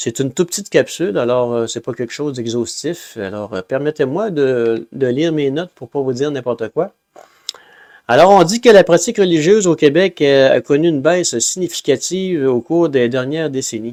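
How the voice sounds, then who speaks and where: A man speaks at a moderate pace with a fairly high pitch and lively intonation, the sound dry and close with no echo. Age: 60s. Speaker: religious group leader. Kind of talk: informal talk with read notes. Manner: hesitant, many fillers.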